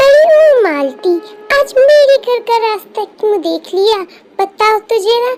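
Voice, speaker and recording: Loud music plays behind a woman using a cartoonish character voice that is squeaky and extremely high. Her intonation is lively and her pace fairly slow. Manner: scornful, harsh.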